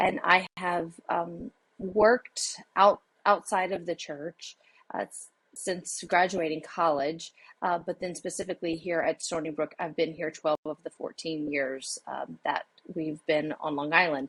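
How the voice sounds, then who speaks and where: A woman's fairly low voice with a Louisiana accent, fairly slow pace, ordinary pitch variation, and a dry, close sound with no echo. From southwest Louisiana. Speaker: associate pastor and university administrator. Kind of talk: podcast interview.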